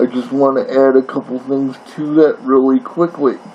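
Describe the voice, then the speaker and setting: A man talks over noticeable background noise. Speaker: college English instructor. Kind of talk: recorded course introduction lecture. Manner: halting, with fillers and repetitions.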